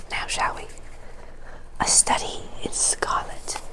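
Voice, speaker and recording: Someone whispers in a soothing tone against noticeable background noise. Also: woman. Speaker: ASMR creator. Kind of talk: casual talk to camera, intro. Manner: whispered, soothing, soft.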